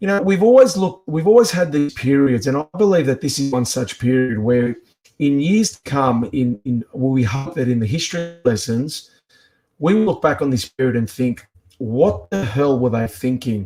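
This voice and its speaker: A man with an Australian accent, a dark, mellow tone, fairly high pitch, lively intonation and a moderate pace. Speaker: activist. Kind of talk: speech-like commentary.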